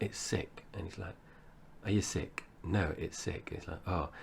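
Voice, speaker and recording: A man is speaking. His pace is moderate. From English Midlands, born in Essex. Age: 40s. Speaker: podcast host. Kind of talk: casual chat.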